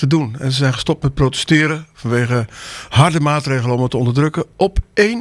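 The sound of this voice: Pitch variation here is ordinary. The voice is an unforced reading voice.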